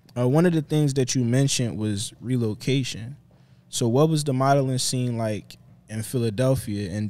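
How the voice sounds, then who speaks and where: Here a man's tone is dark and mellow, at medium pitch. He keeps a moderate pace with ordinary pitch variation. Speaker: podcast host. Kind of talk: casual interview. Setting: studio. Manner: casual and laid-back.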